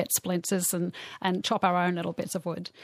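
Speaking at a fairly quick pace with an Australian accent, a woman comes through a very clean recording with a silent background and a dry, close sound with no echo. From Australia, Bathurst, country New South Wales. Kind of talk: interview.

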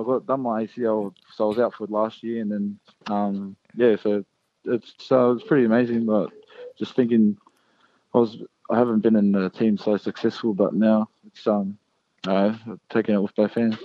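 In a monotone, flat intonation, a man with a fairly low pitch talks at a moderate pace. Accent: New Zealand. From New Zealand. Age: 20s. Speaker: professional rugby league player. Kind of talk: interview. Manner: halting.

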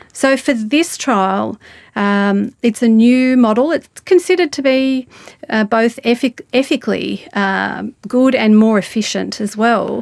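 A normal speaking voice at a fairly slow pace, with ordinary pitch variation, a quiet background and a dry, close sound with no echo. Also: woman, fairly high pitch for a woman. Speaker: stroke rehabilitation researcher. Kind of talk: interview.

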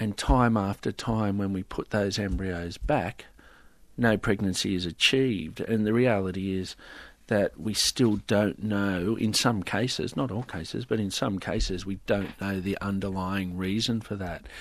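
Against a quiet background, a man speaks with an Australian accent. His pitch is fairly low, his pace fairly slow and his intonation fairly even. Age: 50s. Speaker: IVF scientist. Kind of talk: interview.

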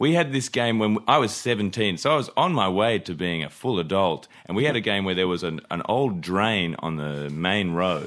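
A man speaks in an ordinary speaking voice, fairly low in pitch, at a moderate pace. His intonation is lively, with hardly any pauses. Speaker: comedian panelist.

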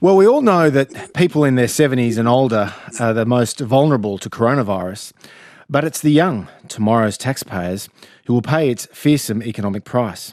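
A man with an Australian accent talks at a medium pitch and a moderate pace. His intonation is lively. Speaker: radio host. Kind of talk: radio interview. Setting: studio.

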